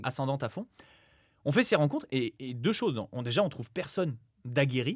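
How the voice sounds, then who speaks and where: A man's somewhat breathy, fairly high voice, animated in tone and lively in intonation, at a fairly quick pace. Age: 20s. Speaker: real estate investor and former PE teacher. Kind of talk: podcast interview. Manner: fast.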